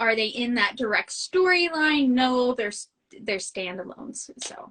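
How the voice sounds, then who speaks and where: A woman with a Midwestern American accent and a bright, sharp tone, in a dry, close sound with no echo. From US Midwest. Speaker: novelist. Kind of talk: casual interview chat. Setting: live video stream.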